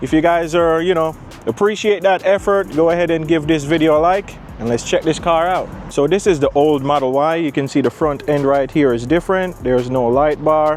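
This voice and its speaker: Noticeable background noise accompanies a man speaking at a moderate pace in a fairly high voice with ordinary pitch variation. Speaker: car reviewer. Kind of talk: product walkaround review.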